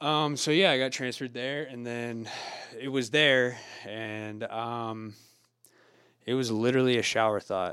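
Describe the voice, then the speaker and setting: A man with a West Coast accent, medium pitch and a bright, sharp tone, at a moderate pace with long, frequent pauses. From rural Oregon. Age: 30s. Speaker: sober living house founder. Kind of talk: casual chat.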